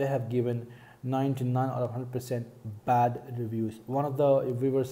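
In a monotone, flat delivery, a man speaks at a fairly slow pace. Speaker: car vlogger. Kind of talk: casual vlog commentary. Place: home room. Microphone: earbuds.

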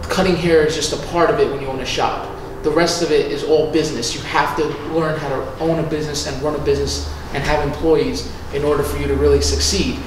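A man talks at a very fast pace. There is audible room echo and noticeable background noise. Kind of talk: interview answer. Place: home room.

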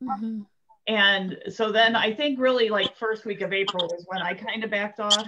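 Speaking with an American accent at a moderate pace, a woman keeps her intonation fairly even over noticeable background noise. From US Midwest. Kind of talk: casual chat. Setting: video call. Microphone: video call.

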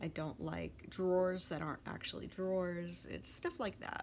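In a plain, everyday voice, a woman speaks at a fairly low pitch and a moderate pace, with light background noise. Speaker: hobby vlogger. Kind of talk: casual vlog chat. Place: home room. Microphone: phone near.

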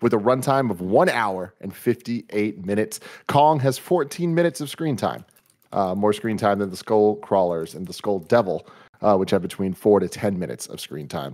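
An unremarkable speaking voice from a man, fairly low in pitch with lively intonation, at a moderate pace against a quiet background. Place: home room. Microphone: studio mic.

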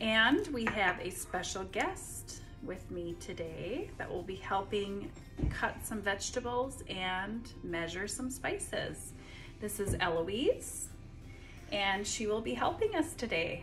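Clear music plays in the background. A woman talks at a very slow pace. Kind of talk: casual cooking vlog chat. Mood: friendly, upbeat. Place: kitchen. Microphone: phone near.

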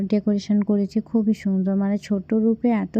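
The woman's voice has a fairly high pitch. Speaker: family vlogger. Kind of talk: vlog narration.

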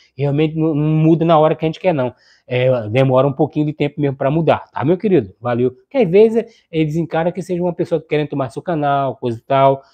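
Over a quiet background, a man with a fairly high pitch and animated tone speaks very fast with ordinary pitch variation. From Brazil, São Paulo city. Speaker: YouTube electronics repair streamer. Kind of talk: live stream chat with viewers. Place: home room. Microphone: lapel.

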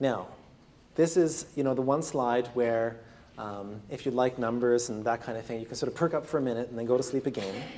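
Light background noise sits behind a man talking at a fairly quick pace with ordinary pitch variation. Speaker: lecturer. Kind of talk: lecture. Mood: calm, lightly humorous. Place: classroom. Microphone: lapel.

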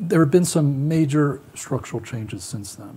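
The speaker is a man. He has an American accent. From United States. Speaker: panelist. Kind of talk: panel discussion. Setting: stage with audience. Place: stage. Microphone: lapel.

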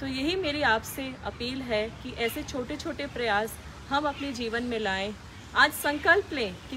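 Over noticeable background noise, a woman uses a raised, projected voice with a high pitch, speaking at a fairly slow pace. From India, Delhi. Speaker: civil servant. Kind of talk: public service message. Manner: formal. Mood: earnest, appealing. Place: garden.

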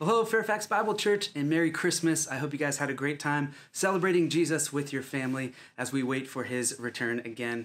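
Fairly quick speech with hardly any pauses. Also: man, lively intonation. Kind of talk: church announcements. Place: home room.

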